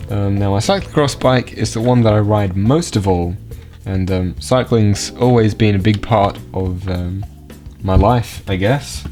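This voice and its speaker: A fairly slow delivery with lively intonation in an Australian accent, music in the background. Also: man, fairly low pitch for a man. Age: young. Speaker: geocaching vlogger. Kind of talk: casual talk to camera. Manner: casual, hesitant.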